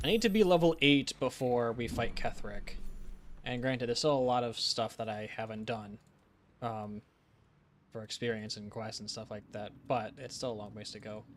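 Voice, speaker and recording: His loudness swings a lot as this man speaks at medium pitch. He keeps a moderate pace with ordinary pitch variation. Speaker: gaming streamer. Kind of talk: live gameplay stream chat. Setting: live stream. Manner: mumbling at times.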